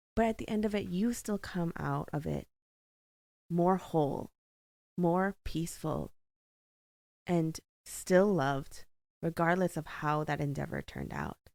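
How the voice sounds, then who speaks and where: On a very clean recording with a silent background, a woman speaks at a fairly slow pace with long, frequent pauses. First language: not English. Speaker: podcast host. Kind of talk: casual faith talk. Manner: casual, rambling with fillers.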